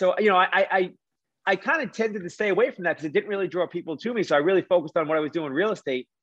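At a very fast pace, a man with a strong East Coast accent talks in a high voice with ordinary pitch variation. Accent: thick East Coast. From New York City. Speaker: mortgage lender and real estate investor. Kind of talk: podcast interview.

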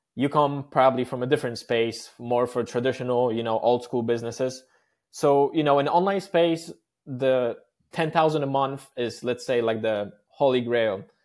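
In a very clean recording with a silent background, a man with a Polish accent speaks at a medium pitch with ordinary pitch variation. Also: moderate pace. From Poland. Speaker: podcast host. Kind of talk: interview.

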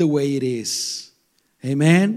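Here a man speaks in an animated tone. His intonation is lively. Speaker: preacher. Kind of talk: sermon. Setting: church. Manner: conversational.

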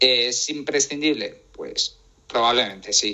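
A man speaking at a very slow pace. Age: 20s. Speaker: tech writer and podcaster. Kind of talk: interview. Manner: voice sometimes shaky from nerves.

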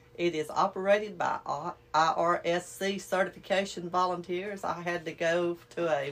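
A woman with a Southern US accent speaks in a fairly low pitch with fairly even intonation. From Alabama. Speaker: activity coordinator. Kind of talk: casual chat.

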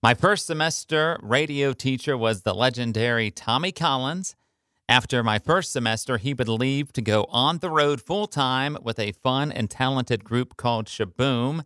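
A man's bright, sharp voice with an American accent at a moderate pace, in a very clean recording with a silent background and a dry, close sound with no echo. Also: medium pitch for a man, ordinary pitch variation. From Ohio, US Midwest. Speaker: radio personality. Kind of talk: scripted narration.

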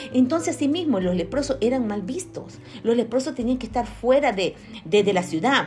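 A woman talks at a fairly quick pace with very wide pitch swings. Audible room echo and noticeable background noise fill the recording. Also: fairly high pitch for a woman. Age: 50s. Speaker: lay preacher. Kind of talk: sermon.

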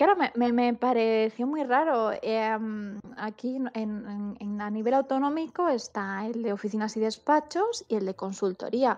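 A woman with a Madrid accent speaks at a fairly slow pace, her pitch fairly high. She barely pauses, and her pitch varies in an ordinary way. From Madrid, Spain. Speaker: HR manager. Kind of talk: interview.

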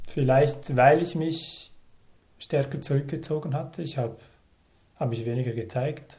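A man with a fairly high pitch and a dark, mellow tone speaks somewhat breathily and fairly slowly, with fairly even intonation and long, frequent pauses. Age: 30s. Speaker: stutterer telling his story, environmental policy advisor. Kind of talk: interview testimony. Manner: fluent.

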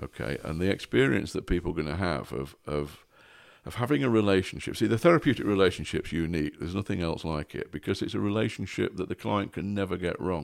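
A man's very deep, low voice with vocal fry and lively intonation at a very fast pace, on a very clean recording with a silent background. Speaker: guest, therapist or coach. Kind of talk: casual interview chat.

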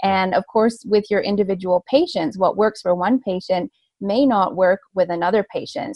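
Medium pitch, lively intonation and a moderate pace from a woman with a Canadian accent. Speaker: veterinarian, industry communication manager. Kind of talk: interview.

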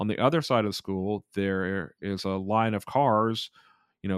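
Recorded very cleanly against a silent background, with a dry, close sound and no echo, a man with a normal speaking voice and an American accent talks at a moderate pace and fairly low pitch. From US South, South Georgia. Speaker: cycling advocate and professor. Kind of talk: interview.

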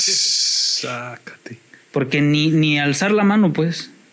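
Noticeable background noise beneath a man speaking at a fairly high pitch. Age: 30s. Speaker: podcast guest. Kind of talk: casual chat.

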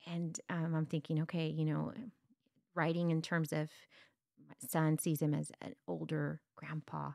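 A woman with a South Texas accent speaks at a fairly slow pace in a very deep, low pitch with monotone, flat intonation. The recording is very clean, with a silent background. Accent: South Texas Mexican-American English. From US South Texas border, Brownsville. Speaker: instructional coach. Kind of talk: interview.

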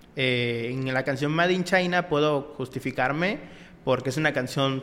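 A man talks at a moderate pace in a fairly high voice with ordinary pitch variation, amid noticeable background noise. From Mexico, Acapulco. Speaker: rapper. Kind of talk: interview.

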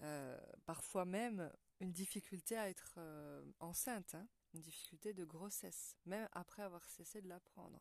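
A woman speaks at a fairly low pitch with ordinary pitch variation and a moderate pace. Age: 40s. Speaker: women's wellness podcaster. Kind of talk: monologue talk on menstrual cycle. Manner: hesitant with fillers.

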